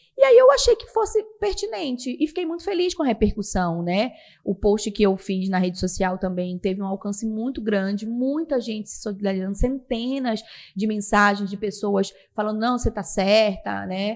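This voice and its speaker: Big swings in loudness with a strong Pará accent. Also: woman, fairly high pitch for a woman, ordinary pitch variation, moderate pace, very clean recording, silent background. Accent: strong Belém (Pará). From Brazil, Belém (Pará). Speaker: TV news presenter. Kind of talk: podcast interview.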